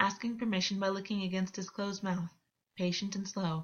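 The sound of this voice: The clip features an unforced reading voice with a quiet background.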